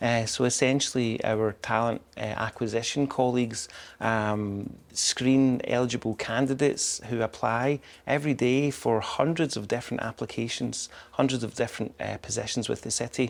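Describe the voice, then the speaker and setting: Heard in a very clean recording with a silent background, a man with a Scottish accent speaks at a medium pitch and a moderate pace with fairly even intonation. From Scotland. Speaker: public information officer. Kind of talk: interview. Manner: halting, many fillers.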